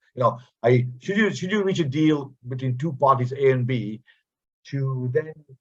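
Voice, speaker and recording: A man with a fairly high, somewhat breathy voice speaks fairly quickly, his pitch moving in an ordinary way. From India. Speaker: visiting professor. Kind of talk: online guest lecture with Q&A. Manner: halting, many repetitions and fillers.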